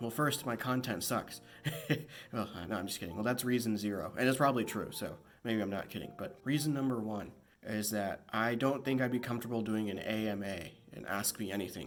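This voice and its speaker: Over music in the background, a man talks at a fairly quick pace in a medium pitch. His pitch varies in an ordinary way, and room echo is audible. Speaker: YouTuber and comedian. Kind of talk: casual vlog monologue. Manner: hesitant, with fillers.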